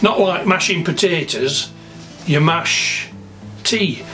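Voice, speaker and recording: Over music in the background, a man with a Sheffield accent talks at a very slow pace with ordinary pitch variation. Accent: Yorkshire (Sheffield). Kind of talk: casual vlog talk to camera.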